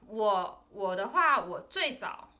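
Audible room echo is heard as a woman talks. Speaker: podcast co-host. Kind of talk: casual chat.

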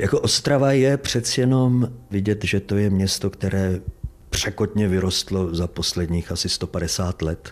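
A man with an ordinary speaking voice talks at a fairly slow pace, fairly low in pitch with ordinary pitch variation. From East Bohemia, Czech Republic (Trutnov, Vysoké Mýto). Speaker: stage actor. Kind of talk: casual interview. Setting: actor's dressing room at theatre.

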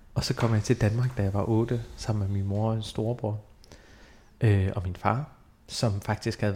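A man speaks at a medium pitch with fairly even intonation and a somewhat breathy sound. The recording is very clean with a silent background. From Denmark, grew up near Aarhus (Hørning). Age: 30s. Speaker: theatre director. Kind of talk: interview.

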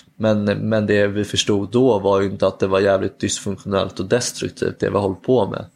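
Monotone, flat intonation at a moderate pace, with hardly any pauses. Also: man, fairly low pitch for a man. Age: 20s. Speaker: public speaker and youth worker. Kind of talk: personal testimony interview. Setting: at home.

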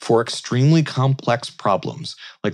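In a very clean recording with a silent background, a man with an unremarkable speaking voice and medium pitch speaks at a fairly slow pace. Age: 40s. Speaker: commencement speaker, tech innovation leader. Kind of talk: commencement speech.

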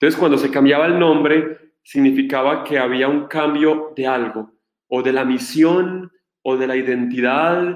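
Using an ordinary speaking voice, a man talks at a fairly slow pace and fairly high pitch with fairly even intonation. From Colombia. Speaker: Franciscan friar, Bible scholar. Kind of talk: lecture.

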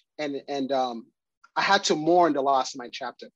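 A man talks at a moderate speed, using a plain, everyday voice and ordinary pitch variation. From Ghana, then Wisconsin from age 11. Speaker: fraternity member and diversity committee member. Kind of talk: interview.

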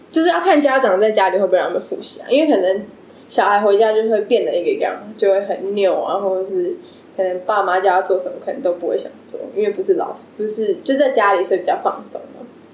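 A woman speaks very fast while noticeable background noise fills the recording. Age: 20s. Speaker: English teacher. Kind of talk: casual chat.

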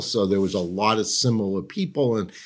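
In a very clean recording with a silent background, a man with a Boston accent speaks at a fairly low pitch with ordinary pitch variation. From Massachusetts, Boston area. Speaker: lobbyist and political strategist. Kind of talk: casual interview conversation. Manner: friendly, laughs often.

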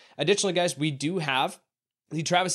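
In an animated tone, a man speaks at a very fast pace. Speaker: fantasy football podcast host. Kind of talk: casual sports analysis chat.

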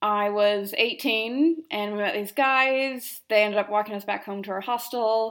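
A woman with an American accent speaks in a plain, everyday voice at a fairly high pitch. Her pace is moderate, with hardly any pauses. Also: ordinary pitch variation. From United States. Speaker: travel blogger. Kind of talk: recorded monologue. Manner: casual, with many fillers.

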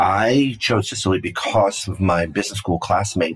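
A somewhat breathy man with an American accent, at a moderate pace. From New York City, Brooklyn. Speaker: winemaker. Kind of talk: interview.

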